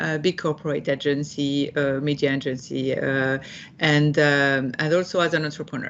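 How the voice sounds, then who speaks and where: A French accent at a moderate pace. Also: woman. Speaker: executive leadership coach. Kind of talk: interview. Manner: halting, many fillers.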